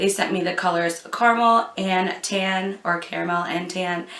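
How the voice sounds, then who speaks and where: Against noticeable background noise, a woman with a medium pitch talks at a fairly slow pace and fairly even intonation. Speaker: beauty youtuber. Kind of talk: product review vlog.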